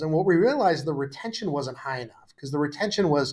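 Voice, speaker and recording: Over a silent background in a very clean recording, a man talks at a very fast pace. His voice is somewhat breathy, with ordinary pitch variation. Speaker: tech startup founder and CEO. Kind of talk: podcast interview.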